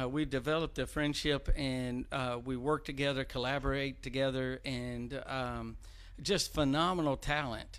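Speaking with a Tennessee accent, a man holds a fairly high pitch. His pace is fairly slow and his intonation fairly even. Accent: Southern US (Tennessee). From Clarksville, Tennessee. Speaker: civic leadership board member. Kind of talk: casual talk show interview.

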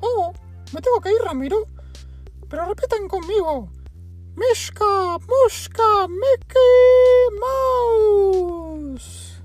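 An extremely high, squeaky put-on character voice at a very slow pace, with long, frequent pauses and clear music in the background. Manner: playful.

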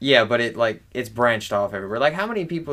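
A man with a slight Southern US accent speaks in a bright, sharp tone. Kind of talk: casual chat.

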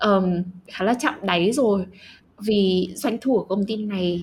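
At a very slow pace, a somewhat breathy voice speaks with ordinary pitch variation on a very clean recording with a silent background. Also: woman. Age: young. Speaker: podcast co-host. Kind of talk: casual chat.

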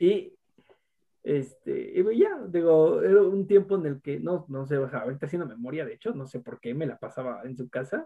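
With a normal speaking voice, a man speaks at a moderate pace and lively intonation. His loudness swings widely. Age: 20s. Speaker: university student. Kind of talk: casual chat.

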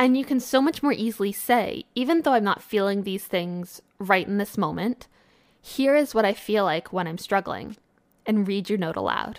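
On a very clean recording with a silent background, a woman with an ordinary speaking voice talks at a moderate pace and medium pitch, with lively intonation. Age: 20s. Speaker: podcast host. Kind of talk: solo podcast monologue. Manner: casual.

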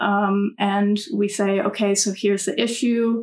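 A somewhat breathy woman's voice in an American accent, medium in pitch, with ordinary pitch variation. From US South, North Carolina. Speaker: student election candidate. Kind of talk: interview.

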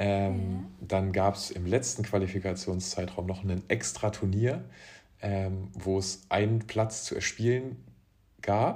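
On a very clean recording with a silent background, a man speaks very slowly in a fairly low, somewhat breathy voice. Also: ordinary pitch variation. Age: 20s. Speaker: professional beach volleyball player. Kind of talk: casual interview.

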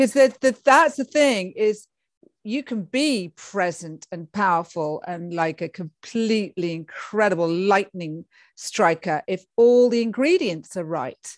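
A woman with a medium-pitched voice speaks at a fairly slow pace. Her tone is animated, with very wide pitch swings. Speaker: podcast host. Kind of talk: casual interview chat. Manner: animated, effusive.

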